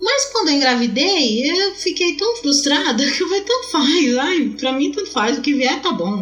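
A woman talks in a high voice with very wide pitch swings, very even loudness and hardly any pauses, over noticeable background noise. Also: moderate pace. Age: 30s. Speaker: mother, podcast guest. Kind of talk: casual chat.

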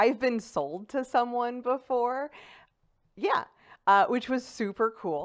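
A woman with a St. Louis accent speaks at a fairly high pitch and a very slow pace. Long, frequent pauses break up a very clean recording with a silent background. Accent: St. Louis Midwestern American. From St. Louis, Missouri (South City). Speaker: stand-up comedian. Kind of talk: casual chat. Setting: studio.

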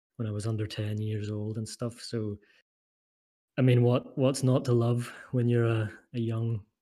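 Against a very clean recording with a silent background, a man speaks at a medium pitch and moderate pace in a dark, mellow tone with monotone, flat intonation and long, frequent pauses. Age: 30s. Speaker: product designer and model builder. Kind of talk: casual chat.

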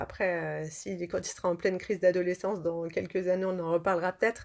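Her pitch sits at a medium level for a woman. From France, Lyon. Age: 30s. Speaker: model and actress. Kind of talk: interview. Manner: hesitant.

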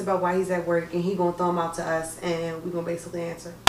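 Noticeable background noise surrounds a woman's voice. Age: 20s. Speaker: podcast co-host. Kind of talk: casual chat.

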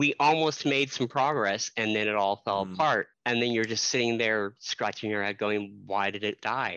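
In a plain, everyday voice, a man talks at a moderate pace with fairly low pitch, ordinary pitch variation and hardly any pauses. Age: 30s. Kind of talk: casual chat.

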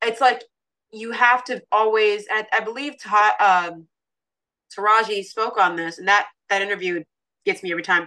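A bright, sharp tone at a moderate pace, with ordinary pitch variation. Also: woman, fairly high pitch for a woman. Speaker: fashion model. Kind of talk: casual interview chat. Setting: remote call from abroad.

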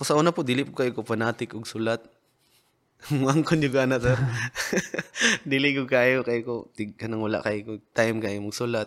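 Speaking fairly quickly, a man keeps his medium-pitched voice at a fairly even intonation. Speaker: rapper and battle league organizer. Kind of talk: casual interview chat. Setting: studio.

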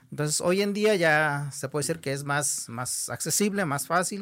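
A man's fairly high voice, fairly slow, with ordinary pitch variation, on a very clean recording with a silent background. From Nayarit, Mexico (Huichol community). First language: Huichol (Wixárika) (speaking Spanish). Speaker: Huichol artist and teacher. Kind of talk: interview conversation.

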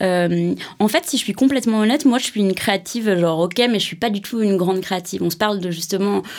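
Talking at a fairly quick pace, a woman with an ordinary speaking voice keeps a medium pitch and ordinary pitch variation. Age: 30s. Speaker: creative director at an advertising agency. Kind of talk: interview. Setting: studio.

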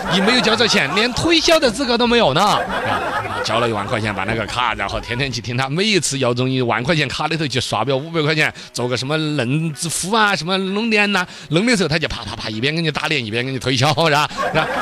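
A man's animated, very fast talk in a Sichuan accent, fairly high-pitched with very wide pitch swings, over noticeable background noise. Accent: Sichuan Mandarin. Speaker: radio host. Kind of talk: casual monologue.

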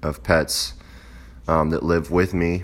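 Vocal fry at a fairly slow pace, with fairly even intonation. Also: man. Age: 20s. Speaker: aspiring fiction writer, vlogger. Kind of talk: casual monologue. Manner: halting, many fillers.

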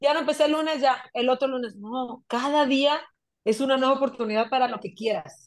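Against a quiet background, a woman speaks with a high pitch. Her pace is moderate and her pitch varies in an ordinary way. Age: 30s. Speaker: entrepreneur and mother. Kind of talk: casual conversational interview.

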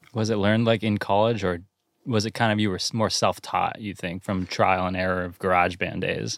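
In a very clean recording with a silent background, a man with an American accent speaks at a fairly quick pace in a fairly low, monotone, flat voice. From Santa Cruz area, California. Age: 20s. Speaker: podcast host. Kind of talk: casual chat. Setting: in a van.

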